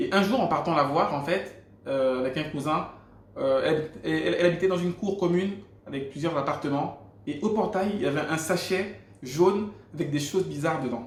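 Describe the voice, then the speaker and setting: A man with a Gabonese accent speaks at a moderate pace, his pitch fairly high with ordinary variation. Noticeable background noise and audible room echo surround him. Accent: African (Gabonese) French. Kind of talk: testimony. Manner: hesitant, repeats words.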